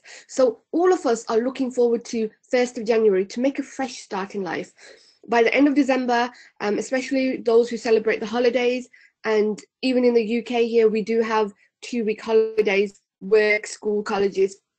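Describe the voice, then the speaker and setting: Speaking with a British accent, a woman keeps her intonation fairly even. Her pitch is fairly high, and her pace is moderate. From UK. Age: 30s. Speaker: personal development trainer. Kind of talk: webinar presentation. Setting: online webinar.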